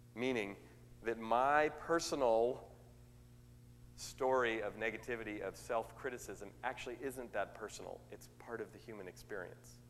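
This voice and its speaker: Audible room echo surrounds a man speaking at a medium pitch with fairly even intonation. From US West Coast, Oakland, California. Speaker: motivational speaker. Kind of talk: sermon. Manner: fast; extemporaneous, conversational.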